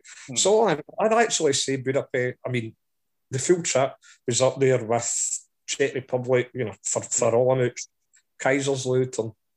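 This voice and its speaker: In a Scottish accent, a man speaks at a moderate pace with long, frequent pauses, a medium pitch and ordinary pitch variation, in a dry, close sound with no echo. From Scotland. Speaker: football fan.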